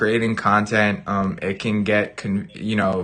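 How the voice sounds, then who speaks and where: A man speaks loudly and fairly slowly, his tone bright and sharp. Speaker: gaming YouTuber. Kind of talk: casual chat on live stream. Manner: animated, all over the place.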